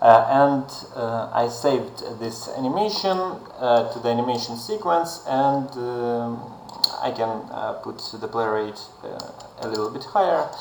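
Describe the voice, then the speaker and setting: A man speaks at a fairly slow pace with ordinary pitch variation, with audible room echo and noticeable background noise. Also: medium pitch for a man. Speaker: game developer, plugin creator. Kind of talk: tutorial. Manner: halting, many fillers.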